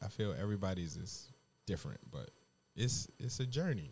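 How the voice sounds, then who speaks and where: Lively intonation in a man's somewhat breathy voice. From US, Detroit. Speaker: podcast host and chef. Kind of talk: casual chat. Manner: animated.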